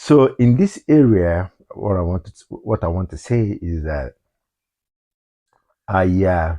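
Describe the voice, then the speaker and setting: In a Nigerian accent, a man speaks at a very slow pace with long, frequent pauses, his very deep, low pitch and dark, mellow tone carrying lively intonation in a dry, close sound with no echo. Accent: Nigerian English, Igbo. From Nigeria (Igbo, southeast). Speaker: vlogger. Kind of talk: personal vlog monologue. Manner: halting, repetitive.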